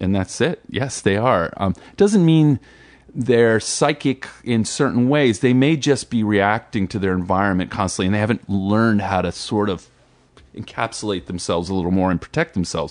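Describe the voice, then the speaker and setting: A man with an American accent and a normal speaking voice talks at a fairly low pitch and moderate pace, his intonation lively. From New Jersey. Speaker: musician and entrepreneur. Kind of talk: casual interview.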